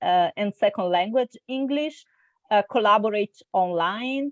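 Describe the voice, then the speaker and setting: A woman's fairly high voice at a fairly slow pace, dry and close with no echo, over a quiet background. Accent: Italian. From Italy, Milan. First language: Italian. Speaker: intercultural trainer. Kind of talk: interview. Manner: hesitant, many fillers.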